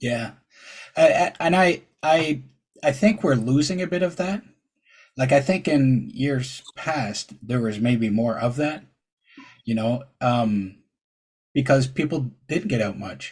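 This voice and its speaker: A man with a medium pitch and a somewhat breathy sound speaks at a very slow pace with lively intonation. Long pauses come often. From Ontario, Canada. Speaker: podcast host and truck driver. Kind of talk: casual interview chat. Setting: podcast interview.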